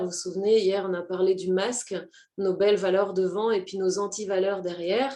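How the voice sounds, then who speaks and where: A woman speaks at a moderate pace in a medium pitch. Her tone is dark and mellow. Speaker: personal development coach. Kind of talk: live stream talk to viewers. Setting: online live stream. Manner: hesitant with many fillers.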